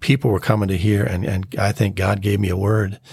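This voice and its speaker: This man talks with an American accent at a fairly low pitch. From Minnesota. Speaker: pastor. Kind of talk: testimony. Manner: halting.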